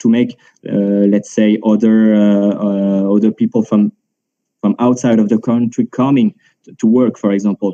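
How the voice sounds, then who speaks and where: Speaking in a French accent, a man uses a fairly low pitch and monotone, flat intonation at a moderate pace, with big swings in loudness. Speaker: market analyst. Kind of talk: panel discussion. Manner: halting, many fillers and repetitions.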